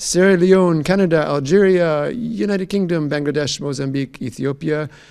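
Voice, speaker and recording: Ordinary pitch variation marks a man's voice set at a fairly high pitch. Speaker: health organization communications staff, event host. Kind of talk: live Q&A webcast. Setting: live stream. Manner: fast.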